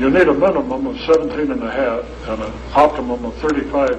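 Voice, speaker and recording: Amid audible room echo and noticeable background noise, a man speaks at a moderate pace. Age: 70s. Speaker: lecturer presenting a health device. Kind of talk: lecture Q&A with audience.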